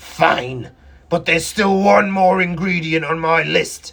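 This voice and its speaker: Putting on a growling character voice, a man speaks at a fairly slow pace with a high pitch. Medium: read story. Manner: growling, greedy.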